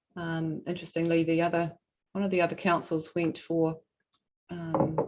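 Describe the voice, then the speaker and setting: The intonation is monotone and flat. The pace is moderate. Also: woman, fairly low pitch for a woman. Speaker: regional council representative. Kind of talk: formal presentation at a hearing. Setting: hearing room, streamed live. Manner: soft-spoken.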